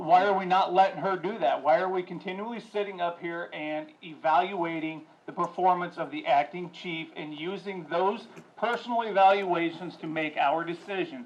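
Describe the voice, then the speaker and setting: Loud and high-pitched, a man speaks at a moderate pace. His intonation stays fairly even. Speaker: city council member. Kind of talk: public meeting remarks. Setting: council chamber with audience.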